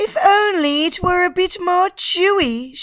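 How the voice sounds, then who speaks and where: A put-on character voice from a woman, squeaky and extremely high-pitched, with lively intonation. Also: fairly slow pace. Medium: read story. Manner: fluttery.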